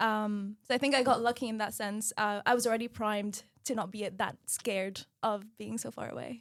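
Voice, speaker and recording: A woman's fairly high voice with an Arabic accent, monotone and flat, with hardly any pauses. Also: moderate pace, very clean recording, silent background. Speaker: medical student. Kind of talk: podcast conversation.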